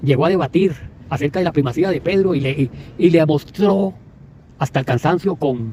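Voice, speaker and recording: Speaking at a moderate pace with long, frequent pauses, a man with a Costa Rican accent shows ordinary pitch variation. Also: fairly high pitch for a man. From Costa Rica, Puntarenas. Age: 60s. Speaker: evangelical preacher. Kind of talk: religious commentary monologue. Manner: halting, with many repetitions.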